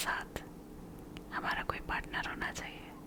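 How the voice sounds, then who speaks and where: A woman whispers in a calm tone. Background noise is noticeable. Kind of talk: soft-spoken ASMR comfort talk. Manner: soft-spoken, slow, calm.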